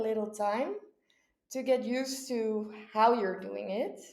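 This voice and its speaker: A woman with a Dutch accent speaks very slowly at a fairly high pitch, and the room echo is audible. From Netherlands, Texel island. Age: 20s. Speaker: au pair. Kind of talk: interview.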